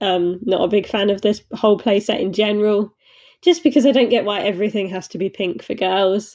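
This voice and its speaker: A woman with a British accent, at a fairly quick pace, with ordinary pitch variation. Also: medium pitch for a woman. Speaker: model horse reviewer. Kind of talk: casual reaction video. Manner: hesitant, many fillers.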